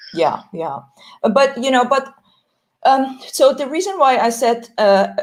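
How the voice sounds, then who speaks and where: Speaking at a fairly slow pace with a non-native accent, a woman uses a high pitch and lively intonation. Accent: foreign. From Iran. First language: Persian. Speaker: entrepreneur. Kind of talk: panel discussion. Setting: audio chat room. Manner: hesitant, many fillers.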